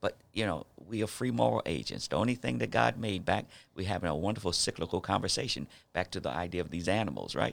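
Speaking very fast in an American accent, a man with a very deep, low voice and vocal fry swings his pitch very widely. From New York City and South Jersey. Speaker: pastor and nonprofit director. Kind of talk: casual interview.

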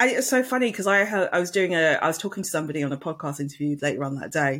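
Someone with an English accent talks at a very fast pace on a very clean recording with a silent background. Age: 40s. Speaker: marketing podcaster. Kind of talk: casual chat.

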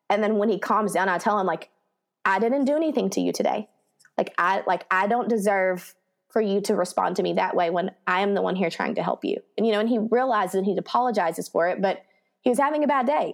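Over a quiet background, a woman with a Texan accent talks at a very fast pace, her loudness very even and her pitch variation ordinary. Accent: Texan American. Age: 30s. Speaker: elementary school teacher. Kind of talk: casual chat.

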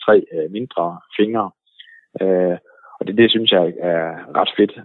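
This man talks at a moderate pace in a fairly low pitch, keeping his intonation fairly even. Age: 40s. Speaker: ski website owner. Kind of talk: interview. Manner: hesitant with fillers.

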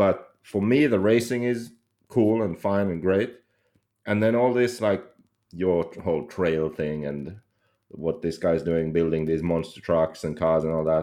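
Very deep and low, a man's voice has a dark, mellow tone and ordinary pitch variation. He speaks at a fairly slow pace with long, frequent pauses. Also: quiet background. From Finland. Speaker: podcast co-host and RC racer. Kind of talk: casual chat. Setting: remote call.

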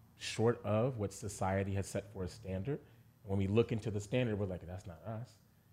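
A man speaks with a dark, mellow tone at a fairly low pitch, somewhat breathy. His pace is moderate and his intonation fairly even. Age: 30s. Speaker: podcast co-host. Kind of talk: casual interview conversation.

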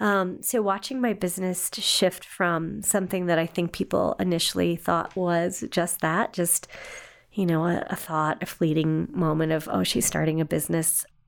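A woman speaks in a normal speaking voice, fairly low in pitch, with ordinary pitch variation. Her pace is moderate. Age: 50s. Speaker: adoption agency director. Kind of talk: interview. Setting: studio.

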